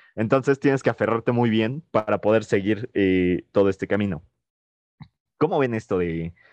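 Against a quiet background, a man with a fairly low pitch speaks at a moderate pace in a dry, close sound with no echo. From Mexico. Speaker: podcast co-host. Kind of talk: casual chat. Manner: hesitant, many fillers.

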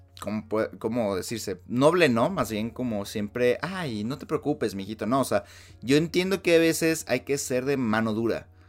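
A man with a Mexican accent, medium-pitched and animated, with lively intonation at a moderate pace, on a very clean recording with a silent background. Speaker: podcast host. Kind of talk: solo commentary monologue.

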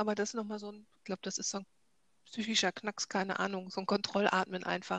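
Here a woman speaks at a fairly quick pace and a medium pitch, in an unremarkable speaking voice. The sound is dry and close, with no echo. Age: 40s. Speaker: cancer patient. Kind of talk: casual interview.

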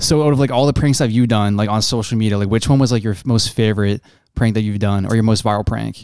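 A man with a slight Canadian accent, fairly low pitch, fairly even intonation and a very fast pace, in a very clean recording against a silent background. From Canada. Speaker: social media content creator. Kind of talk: casual chat.

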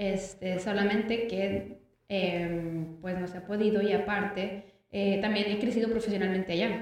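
Amid audible room echo, a woman speaks at a medium pitch and a fairly slow pace with monotone, flat intonation. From Mexico. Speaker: Mexican emigrant in France. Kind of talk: casual chat.

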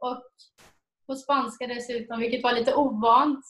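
Her voice high, a woman talks with fairly even intonation. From Sweden, Jönköping. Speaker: missionary volunteer. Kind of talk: interview testimony.

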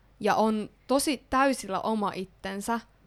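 Fairly high-pitched woman's voice in an Ostrobothnian accent, with ordinary pitch variation, in a very clean recording with a silent background. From Ostrobothnia, Finland. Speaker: podcast host. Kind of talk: casual chat. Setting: studio.

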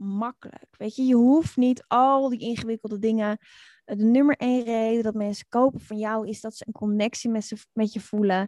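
Here is a woman with an unremarkable speaking voice, fairly high in pitch, with ordinary pitch variation. She talks at a moderate pace, and the sound is dry and close with no echo. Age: 40s. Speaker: online community expert and author. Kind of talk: interview.

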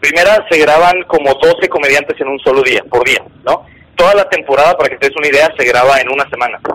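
A man rattles along at a very fast pace, with noticeable background noise behind him. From Monterrey, northern Mexico. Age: 30s. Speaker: stand-up comedian. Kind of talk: casual chat.

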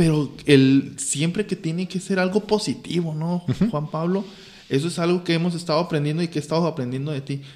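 A fairly quick voice in a Mexican accent, with ordinary pitch variation. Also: man. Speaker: teacher and engineer. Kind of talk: casual chat.

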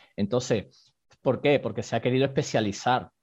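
Using an unremarkable speaking voice, a man keeps a moderate pace and ordinary pitch variation. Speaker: karate teacher practicing several martial arts. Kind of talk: interview discussion.

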